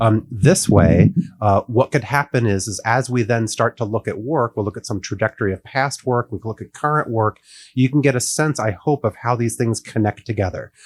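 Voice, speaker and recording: In a dry, close recording with no echo and a very clean, silent background, a man with a somewhat breathy voice talks at a fairly quick pace, with medium pitch and ordinary pitch variation. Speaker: artist and college professor. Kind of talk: lecture. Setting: stage with audience. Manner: fast; animated.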